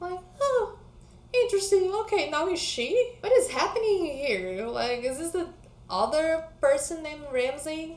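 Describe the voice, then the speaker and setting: Pitch swings very widely at a fairly slow pace. Room echo is audible. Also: woman, extremely high pitch for a woman. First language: not English. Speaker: book vlogger. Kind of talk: casual vlog chat.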